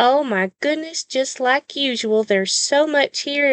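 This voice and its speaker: A woman with a Southern US accent, warm in tone, at a fairly slow pace with ordinary pitch variation, dry and close with no echo over a quiet background. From US South. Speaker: podcast host and Bible devotional teacher. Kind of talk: devotional Bible teaching. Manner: warm, sincere, with frequent filler pauses.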